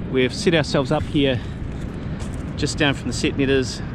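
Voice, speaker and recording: A man talking very fast with ordinary pitch variation, dry sound with no echo, and noticeable background noise. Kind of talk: casual vlog chat. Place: waterside. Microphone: phone near.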